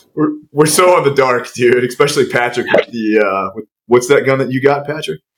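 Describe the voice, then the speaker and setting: With an American accent, a man talks at a moderate pace in an ordinary speaking voice, his pitch medium and its variation ordinary. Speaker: podcast co-host, former special operator. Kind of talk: casual podcast chat. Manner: profane, casual.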